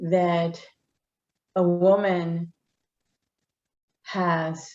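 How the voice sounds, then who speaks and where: This woman has a Spanish accent. Her tone is dark and mellow. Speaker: politician. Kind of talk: interview.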